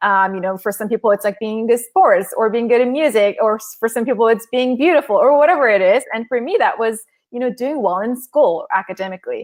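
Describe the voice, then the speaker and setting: Speaking at a very fast pace with hardly any pauses, a woman uses a fairly high pitch with ordinary variation. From South Korea and Southern California. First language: Korean. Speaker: author and former corporate lawyer. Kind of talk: interview on a live stream.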